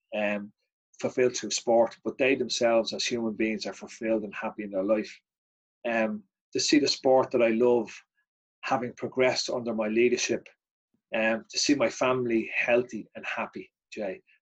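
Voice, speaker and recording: A man speaks with a Dublin accent at a moderate pace and medium pitch. His intonation is fairly even, with long, frequent pauses. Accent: Dublin Irish. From Ireland. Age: 50s. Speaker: martial arts organiser. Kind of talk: casual chat.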